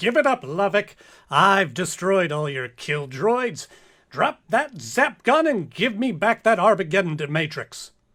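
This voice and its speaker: In a put-on character voice, a man talks high and fairly slowly with very wide pitch swings, over a silent background on a very clean recording. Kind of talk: comedic radio play.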